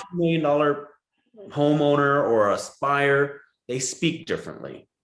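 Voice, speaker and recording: Here a man speaks at a moderate pace in a fairly high pitch. His intonation stays fairly even. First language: Vietnamese. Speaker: real estate broker. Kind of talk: podcast interview. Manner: talkative.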